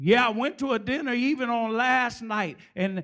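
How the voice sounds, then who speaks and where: A man's extremely high-pitched, animated voice at a moderate pace, with ordinary pitch variation. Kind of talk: sermon. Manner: animated, call-and-response preaching with humor; fervent, exhorting, rhythmic pulpit delivery.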